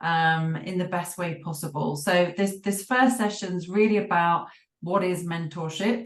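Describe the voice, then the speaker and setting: A woman with a British accent, fairly low in pitch, with ordinary pitch variation at a fairly slow pace. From UK. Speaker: business coach and mentor trainer. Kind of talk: online workshop presentation. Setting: video call.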